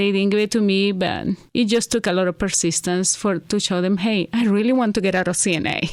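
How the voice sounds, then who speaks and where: A woman with a Venezuelan accent at a medium pitch and fairly quick pace, with fairly even intonation, very even loudness and a very clean recording over a silent background. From Venezuela, Caracas. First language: Spanish. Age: 50s. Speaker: hair stylist, immigrant interviewee. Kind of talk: interview. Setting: studio.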